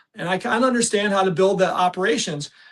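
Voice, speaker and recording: A man with an American accent, a high pitch and ordinary pitch variation, at a very fast pace. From US Midwest. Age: 60s. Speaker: entrepreneur. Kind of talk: podcast interview. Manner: repetitive, halting restarts.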